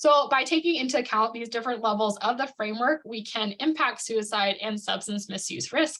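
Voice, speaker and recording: Her tone is bright and sharp. The woman talks at a fairly quick pace. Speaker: prevention specialist presenter. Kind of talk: webinar presentation. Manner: fast.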